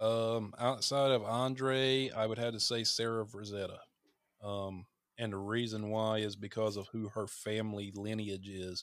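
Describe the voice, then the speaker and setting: A man speaks fairly slowly with a Southern US accent. His fairly low voice stays flat and monotone. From North Carolina, US South. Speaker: horror podcaster and content creator. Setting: remote call.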